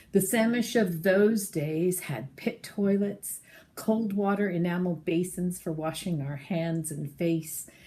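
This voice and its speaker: Speaking at a very slow pace, a woman with medium pitch sounds somewhat breathy and uses ordinary pitch variation. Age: 60s. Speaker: campground supporter sharing memories. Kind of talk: personal testimony, prepared remarks.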